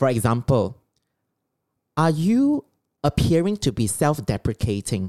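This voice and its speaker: The speaker has a Singaporean accent. The pace is fairly slow. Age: 40s. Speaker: podcast co-host. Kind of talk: lecture-style summary; casual chat. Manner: slower, deliberate.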